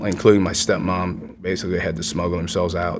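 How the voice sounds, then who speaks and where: A man's very deep, low voice at a very fast pace, with audible room echo and music in the background. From Vietnam, raised in Houston, Texas from age five. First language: Vietnamese. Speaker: war veteran. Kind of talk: interview.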